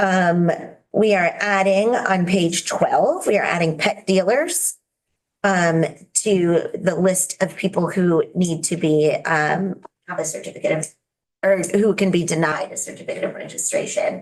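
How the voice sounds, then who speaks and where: At a fairly slow pace, a woman talks at medium pitch with fairly even intonation. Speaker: state legislator, bill sponsor. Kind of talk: committee testimony. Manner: hesitant, many fillers.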